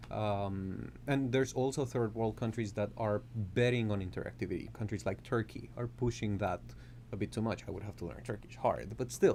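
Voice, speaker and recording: A man with a Colombian accent talks at a fairly quick pace in a fairly low pitch, with a dark, mellow tone, vocal fry and very wide pitch swings. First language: Spanish. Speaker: composer and music professor. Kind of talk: interview conversation.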